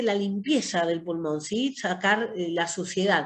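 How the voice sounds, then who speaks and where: A woman is speaking. Her intonation is lively. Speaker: pharmacy course teacher. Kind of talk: online lecture. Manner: long breath phrases.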